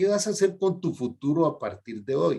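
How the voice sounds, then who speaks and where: With an unremarkable speaking voice, a man talks at a fairly slow pace and fairly high pitch, his intonation lively. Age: 60s. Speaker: health program host, doctor. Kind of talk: interview.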